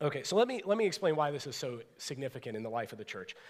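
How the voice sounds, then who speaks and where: Talking at a very fast pace, a man with an American accent and a fairly high pitch shows very wide pitch swings. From US inner city. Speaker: pastor. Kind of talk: sermon. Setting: church. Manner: animated.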